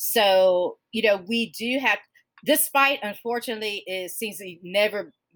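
A woman with an American accent speaks in a bright, sharp tone with ordinary pitch variation, recorded very cleanly against a silent background. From US South, Georgia. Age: 40s. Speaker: podcast host. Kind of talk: casual interview chat.

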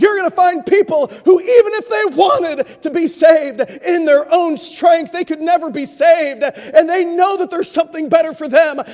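A man talks with an extremely high pitch and ordinary pitch variation at a moderate pace. He hardly pauses, and there is noticeable background noise. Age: 40s. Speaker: guest preacher. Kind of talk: sermon. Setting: church with congregation.

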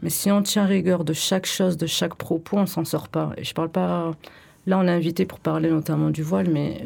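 A woman with an unremarkable speaking voice talks at a moderate pace and a fairly low pitch. Her intonation is fairly even. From France, Bordeaux. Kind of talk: radio discussion. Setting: radio studio.

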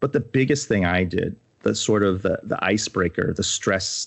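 In an American accent, a man speaks at a moderate pace. His pitch is very deep and low. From United States. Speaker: music industry executive. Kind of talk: interview.

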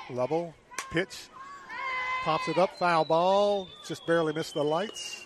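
Through noticeable background noise, a man talks at a fairly slow pace with long, frequent pauses. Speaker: play-by-play announcer. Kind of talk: live sports commentary. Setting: outdoors at ballpark.

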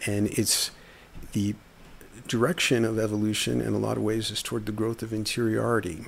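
A man at a fairly quick pace broken by long, frequent pauses. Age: 50s. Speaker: writer. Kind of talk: casual monologue.

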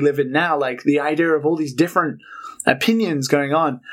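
A man with a British accent at a moderate pace. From UK. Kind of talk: casual chat.

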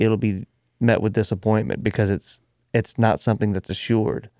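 A man with an unremarkable speaking voice talks at a moderate pace with fairly even intonation. His pitch is fairly low, and the sound is dry and close with no echo. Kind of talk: casual conversation about faith.

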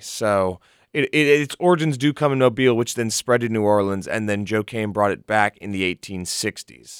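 In a normal speaking voice, a man talks at a moderate pace and a fairly low pitch, on a very clean recording with a silent background and a dry, close sound with no echo. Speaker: college radio guest. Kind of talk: casual chat. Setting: studio.

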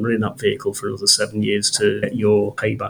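Over noticeable background noise, a man talks at a very fast pace. His pitch sits at a medium level. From Liverpool, northern England. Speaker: company founder and engineer. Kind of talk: business interview.

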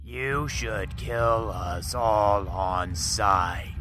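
A man puts on a gruff character voice, pitched very deep and low. Background noise is clearly audible. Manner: menacing.

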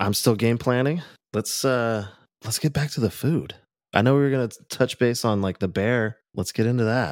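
A man speaks in a normal speaking voice with ordinary pitch variation. His pace is moderate. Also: medium pitch for a man, very clean recording, silent background. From California, Orange County. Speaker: friend of the host, musician. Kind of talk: casual chat.

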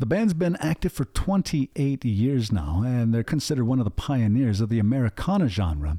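This man's voice sits at a medium pitch and moves at a moderate pace with very wide pitch swings. His loudness stays very even, he hardly pauses, and the recording is very clean with a silent background. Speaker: radio host. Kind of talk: radio DJ patter. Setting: radio studio. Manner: relaxed, conversational; friendly, upbeat.

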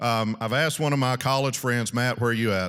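A man's medium-pitched voice is captured on a very clean recording against a silent background. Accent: Southern US. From US South, South Arkansas. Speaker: ministry regional director. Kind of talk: talk at a men's retreat. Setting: stage with audience.

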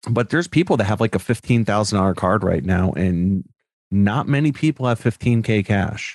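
Recorded very cleanly against a silent background, with a dry, close sound and no echo, a man with an American accent uses an unremarkable speaking voice at a fairly low pitch, lively intonation, a moderate pace and very even loudness. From US Northeast, Connecticut. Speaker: sports card collector and content creator. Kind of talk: casual chat.

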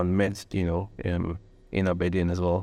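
This man's voice has a dark, mellow tone. The recording is very clean, with a silent background. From Nigeria. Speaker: environmental consultant, university alumnus. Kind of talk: interview. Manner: halting, many fillers and repetitions.

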